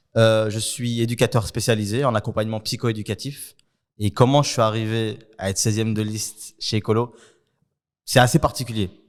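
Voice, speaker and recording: On a very clean recording with a silent background, a man talks in an ordinary speaking voice at medium pitch, fairly quick pace and fairly even intonation. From Brussels, Belgium (Saint-Gilles). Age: 20s. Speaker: youth worker and political candidate. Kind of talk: interview.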